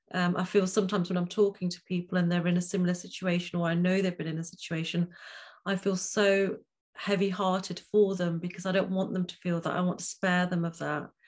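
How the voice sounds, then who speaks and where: In a quiet background, a woman talks at a very fast pace in a somewhat breathy, medium-pitched voice with monotone, flat intonation. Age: 50s. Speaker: podcast host and life coach. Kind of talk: interview. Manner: calming.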